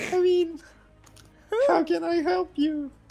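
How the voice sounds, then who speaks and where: Putting on a squeaky character voice at an extremely high pitch, a man speaks with music playing in the background. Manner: forced, acted voice.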